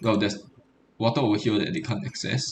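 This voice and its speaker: This man talks at a very fast pace with a medium pitch. His voice has vocal fry. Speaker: game streamer. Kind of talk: gameplay commentary. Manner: hesitant, many fillers.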